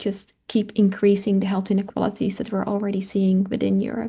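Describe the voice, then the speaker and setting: Over a quiet background, a woman with a Dutch accent speaks at a fairly quick pace, her medium-pitched voice somewhat breathy with a dark, mellow tone. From Netherlands. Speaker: climate and health researcher. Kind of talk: webinar Q&A. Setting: online webinar.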